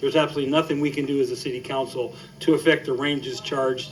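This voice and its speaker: Over noticeable background noise, a man with a fairly high pitch speaks very fast in a monotone, flat intonation. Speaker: city councilmember. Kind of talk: city council meeting remarks.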